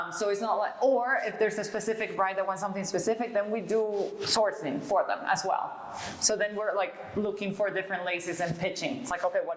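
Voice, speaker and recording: A woman talks at a fairly quick clip with hardly any pauses. Noticeable background noise runs underneath. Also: medium pitch for a woman, ordinary pitch variation. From Venezuela. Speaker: fashion designer. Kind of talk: interview answer.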